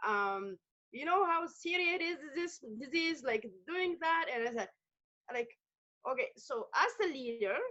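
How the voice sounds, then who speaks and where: Loud and with a bright, sharp tone, a woman talks at a fairly slow pace with very wide pitch swings. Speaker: community worker. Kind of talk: panel discussion.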